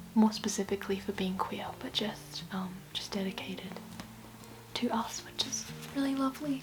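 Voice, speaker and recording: A soft-spoken whisper at a moderate pace, with music in the background. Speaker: book vlogger. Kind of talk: casual vlog talk to camera. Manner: hesitant with many fillers; soft-spoken, whispering.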